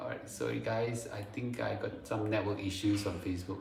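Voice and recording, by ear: A man speaks at a moderate pace in a fairly bright tone, with strong room echo around him.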